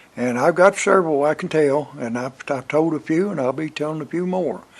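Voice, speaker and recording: With a Southern US accent, a man talks at a fairly quick pace in a fairly high pitch, his pitch varying in an ordinary way. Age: 80s+. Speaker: Vietnam war veteran. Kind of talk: storytelling. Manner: halting, many filler words; casual, folksy.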